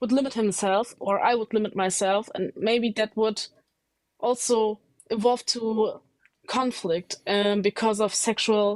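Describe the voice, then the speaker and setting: Speaking with a German accent, a woman holds a fairly high pitch and fairly even intonation at a fairly slow pace. Her loudness stays very even, and the sound is dry and close with no echo. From Germany. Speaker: caller. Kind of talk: live debate. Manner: halting.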